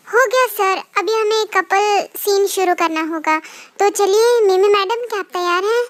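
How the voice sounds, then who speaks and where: Putting on a character voice, a woman speaks at an extremely high pitch with ordinary pitch variation. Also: moderate pace. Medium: fan dub. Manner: polite, deferential.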